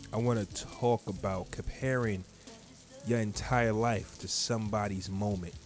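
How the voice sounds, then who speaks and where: A man speaks slowly, at a fairly low pitch. His intonation is fairly even, with music in the background. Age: 30s. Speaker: podcast host. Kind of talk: casual monologue.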